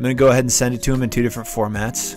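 A man with fairly even intonation, a dry sound with no echo, and clear music in the background. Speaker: beginner voice actor. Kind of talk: casual talk to camera. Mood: playful, puzzled. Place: home room. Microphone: studio mic.

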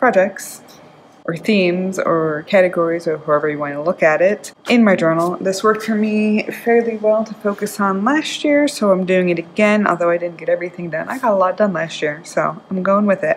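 A woman at a fairly quick pace with ordinary pitch variation, with light background noise. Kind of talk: casual vlog chat. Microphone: phone near.

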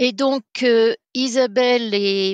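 Recorded dry and close with no echo against a quiet background, a woman speaks with fairly even intonation. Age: 60s. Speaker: race founder and entrepreneur. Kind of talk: casual interview. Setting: remote recording.

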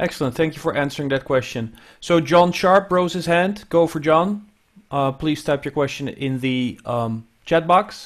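At a moderate pace, a man with a fairly high pitch talks with ordinary pitch variation. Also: quiet background. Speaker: audio education specialist and webinar co-host; webinar co-host. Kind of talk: webinar hosting and instructions. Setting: video call. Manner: hesitant with many fillers. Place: office. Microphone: earbuds.

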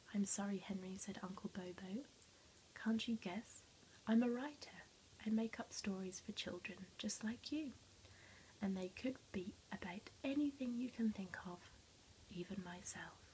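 A soft-spoken voice with long, frequent pauses and light background noise. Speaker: teacher or storyteller. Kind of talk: story read-aloud to children. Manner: soft-spoken ASMR story reading. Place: classroom. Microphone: phone near.

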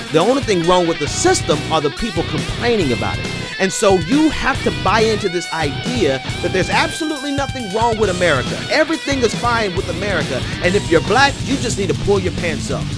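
Over loud background music, a man talks at a fairly quick pace in a dry sound with no echo. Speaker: talk radio / podcast host. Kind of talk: political commentary rant, talk radio style. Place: studio. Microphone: studio mic.

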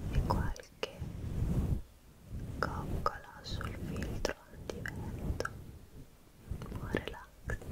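Very slow whispering from a woman, broken by long pauses that come often. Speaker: ASMR creator. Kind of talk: ASMR trigger words video. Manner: whispered, soft-spoken. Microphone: studio mic.

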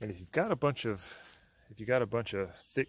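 The dry sound carries no echo as a man speaks at a moderate pace. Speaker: product reviewer. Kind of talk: casual product review vlog. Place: open country. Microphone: phone near.

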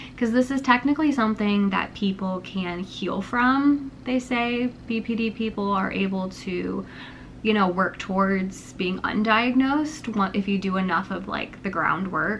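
Light background noise sits under a woman talking at a fairly slow pace with ordinary pitch variation. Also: medium pitch for a woman. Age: 20s. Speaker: YouTuber. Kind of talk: casual vlog monologue. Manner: rambling, unedited. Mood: candid, reflective personal talk. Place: home room. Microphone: camera far.

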